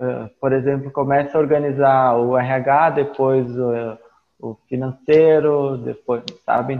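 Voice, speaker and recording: At a very slow pace, a man speaks in a monotone with flat intonation. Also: medium pitch for a man. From Rio Grande do Sul, Brazil (Caxias do Sul). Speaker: IT business owner and teacher. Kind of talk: interview.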